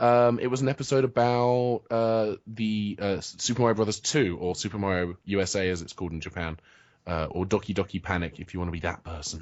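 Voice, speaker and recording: In a British accent, a man speaks at a fairly low pitch and a fairly quick pace, with ordinary pitch variation. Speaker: comic writer and video blogger. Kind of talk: interview. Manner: halting, many fillers and restarts.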